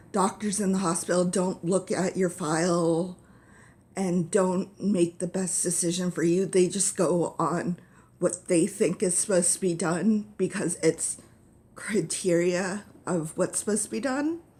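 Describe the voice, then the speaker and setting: A woman speaks fairly slowly with fairly even intonation. Her tone is dark and mellow. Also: medium pitch for a woman. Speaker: vlogger with epilepsy. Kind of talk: personal vlog. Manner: stuttering, halting.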